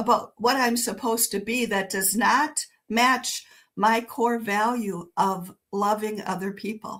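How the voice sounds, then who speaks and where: A woman speaks at a very slow pace. Her tone is bright and sharp. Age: 60s. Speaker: author and educator, former nurse. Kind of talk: interview conversation. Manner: conversational, with many fillers and self-corrections.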